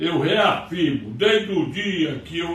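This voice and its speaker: Speaking very slowly, a man is heard through audible room echo and noticeable background noise. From Brazil, Ceará interior. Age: 80s+. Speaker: lawyer and political commentator. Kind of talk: political commentary monologue. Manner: heated, agitated.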